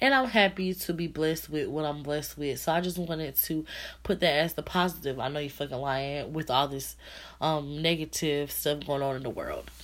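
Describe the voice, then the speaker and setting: Speaking at a moderate pace with ordinary pitch variation, a woman has a very deep, low pitch on a very clean recording with a silent background. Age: 20s. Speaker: podcast host. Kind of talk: casual solo podcast talk. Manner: halting, many fillers.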